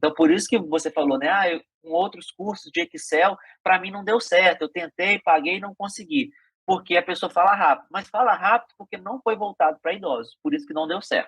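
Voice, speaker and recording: A high-pitched man's voice at a fairly quick pace, with lively intonation. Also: dry, close sound with no echo. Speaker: podcast host and digital skills teacher. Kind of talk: casual interview chat.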